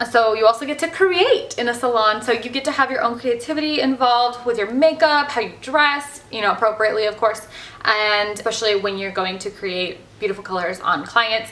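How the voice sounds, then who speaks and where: Bubbly and animated, a woman talks at a fairly quick pace with lively intonation and a fairly high pitch, with noticeable background noise. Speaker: hairstylist vlogger. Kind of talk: casual vlog talk. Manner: loud, bubbly.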